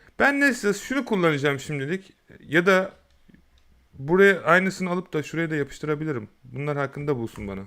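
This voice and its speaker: In a very clean recording with a silent background, a man's fairly high voice has a bright, sharp tone, lively intonation and a fairly quick pace. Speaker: YouTube tutorial creator. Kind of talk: tutorial. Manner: casual, hesitant fillers.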